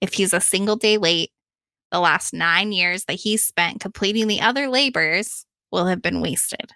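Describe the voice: Over a quiet background, the voice does plain reading aloud with ordinary pitch variation.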